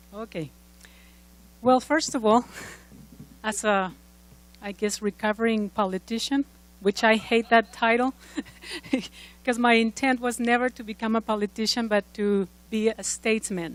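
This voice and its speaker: A woman with a slight Mexican accent and fairly high pitch at a moderate pace, with long, frequent pauses and a dry, close sound with no echo. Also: fairly even intonation. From Mexico. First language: Spanish. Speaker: former congressional candidate, speaker. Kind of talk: conference speech.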